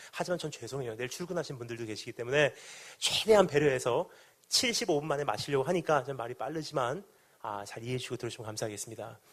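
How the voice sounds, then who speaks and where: A very fast, somewhat breathy delivery with lively intonation and big swings in loudness. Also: man, medium pitch for a man. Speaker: pastor. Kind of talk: sermon.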